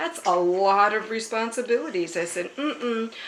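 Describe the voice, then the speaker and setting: A woman talks at a moderate pace in a fairly high pitch. Noticeable background noise runs behind her. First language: American Sign Language. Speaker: pastor. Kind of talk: interview testimony.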